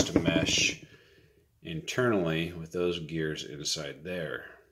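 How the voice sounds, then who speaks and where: A man's very slow speech against loud background noise. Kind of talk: tutorial. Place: workshop. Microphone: phone near.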